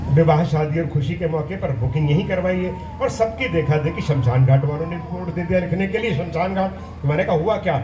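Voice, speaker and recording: A man with a Punjabi accent speaks at a fairly high pitch with ordinary variation. Audible room echo and noticeable background noise fill the recording. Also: moderate pace, hardly any pauses. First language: Punjabi (speaking Hindi). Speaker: poet. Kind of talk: stage poetry and humorous anecdotes. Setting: stage with audience. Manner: animated.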